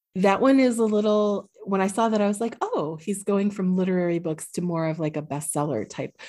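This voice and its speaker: A woman with an American accent speaks at a fairly quick pace with hardly any pauses, her pitch medium. It is an ordinary speaking voice. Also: ordinary pitch variation. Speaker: podcast host, librarian. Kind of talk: casual interview chat.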